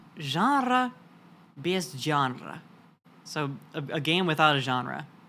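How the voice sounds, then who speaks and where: A woman's very deep, low voice with a bright, sharp tone and very wide pitch swings, at a very slow pace on a very clean recording with a silent background. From US South, Florida. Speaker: vtuber streamer. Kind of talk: casual chat. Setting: live stream.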